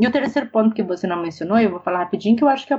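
A woman speaks in a fairly high voice. It sounds somewhat breathy. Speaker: professor of international development. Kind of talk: interview.

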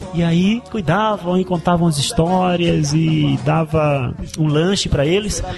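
The voice has ordinary pitch variation and very even loudness at a fairly slow pace. Noticeable background noise sits behind it. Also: man, high pitch for a man. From Brazil, Recife (Pernambuco). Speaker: missionary. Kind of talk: interview.

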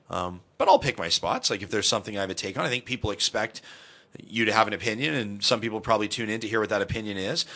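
The tone is bright and sharp. Delivery comes at a very fast pace. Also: man, fairly low pitch for a man, fairly even intonation. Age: 30s. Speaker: radio talk show host, former morning TV host. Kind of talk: casual interview chat.

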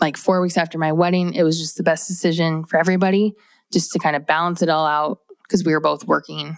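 Talking fairly quickly, a woman with a fairly low pitch and ordinary pitch variation is heard in a very clean recording with a silent background. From US Midwest, Iowa. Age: 20s. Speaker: podcast host and business owner. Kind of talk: casual solo monologue. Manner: conversational with filler words.

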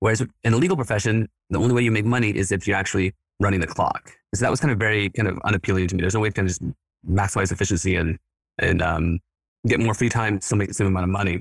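A man's fairly low voice at a very fast pace, with ordinary pitch variation and very even loudness, in a very clean recording with a silent background and a dry, close sound with no echo. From Mexico City, then Houston from age fourteen. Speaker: dental staffing company co-owner, former attorney. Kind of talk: interview, business pitch.

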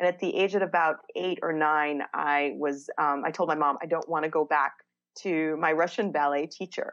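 Her pitch very deep and low, a woman speaks at a moderate pace with fairly even intonation. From Israel. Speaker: dance and soul healing practitioner. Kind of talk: interview. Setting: video show studio.

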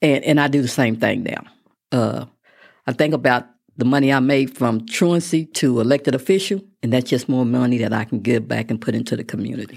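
With an American accent, a woman talks at a very deep, low pitch and a fairly quick pace, with ordinary pitch variation. The recording is very clean, the background silent. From West Texas (Midland). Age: 60s. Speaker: constable, former teacher and local politician. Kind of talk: interview. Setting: studio.

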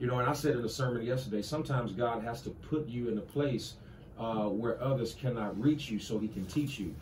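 At a fairly quick pace and with ordinary pitch variation, the voice carries audible room echo. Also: man, medium pitch for a man. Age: 30s. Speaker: pastor. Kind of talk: casual interview.

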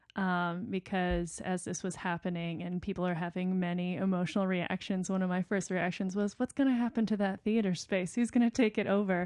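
A woman's medium-pitched voice with a Midwestern American accent, fairly quick with hardly any pauses, fairly even in intonation, over a quiet background. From Rockford, Illinois. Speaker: playwright and festival artistic director. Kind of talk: casual chat.

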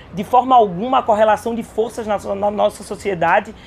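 Ordinary pitch variation in a woman's speech, with noticeable background noise behind it. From Caruaru, Pernambuco, Brazil. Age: young. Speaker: state legislator. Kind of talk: interview. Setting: agrarian reform fair.

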